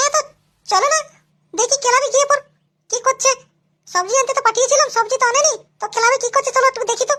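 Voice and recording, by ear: In a cartoonish character voice, a woman talks at a fairly quick pace in an extremely high pitch with fairly even intonation.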